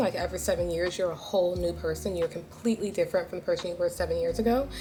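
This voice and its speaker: A woman speaks over noticeable background noise. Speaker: lifestyle vlogger. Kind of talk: casual chat. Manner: animated.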